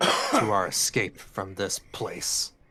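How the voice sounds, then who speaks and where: With a fairly low pitch, this man speaks in a put-on character voice. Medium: actual play. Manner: fervent, self-serious.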